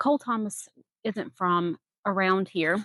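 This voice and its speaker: At a fairly slow pace, the speaker talks with a Southern accent in a dry, close sound with no echo. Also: woman. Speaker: gardening and true crime YouTuber. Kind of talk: casual vlog chat with storytelling. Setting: outdoors in a garden. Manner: casual, hesitant with fillers.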